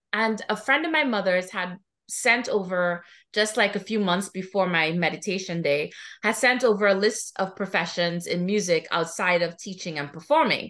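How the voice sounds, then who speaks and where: In a quiet background, a woman talks with a Trinidadian accent at a moderate pace. Her pitch is medium, with ordinary variation. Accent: Trinidadian Caribbean. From Trinidad and Tobago. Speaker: music therapist and professor. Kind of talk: podcast interview.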